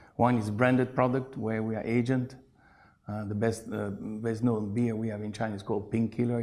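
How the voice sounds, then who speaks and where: A man with a dark, mellow tone talks at a fairly quick pace in a monotone, flat intonation, with audible room echo. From Belgium, Brussels. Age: 50s. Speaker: beer importer, businessman. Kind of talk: interview.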